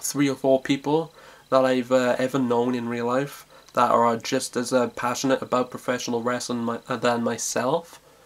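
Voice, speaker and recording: With a South Welsh accent, a man speaks in a monotone, flat intonation over noticeable background noise. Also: medium pitch for a man, moderate pace. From South Wales. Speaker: vlogger. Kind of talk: casual vlog monologue. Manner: halting, many fillers and repetitions.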